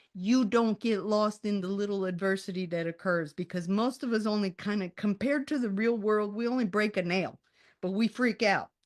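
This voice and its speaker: The speaker keeps a moderate pace with ordinary pitch variation. The sound is dry and close with no echo, over a quiet background. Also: woman, medium pitch for a woman. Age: 60s. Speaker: author and resilience coach. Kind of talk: interview. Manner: animated.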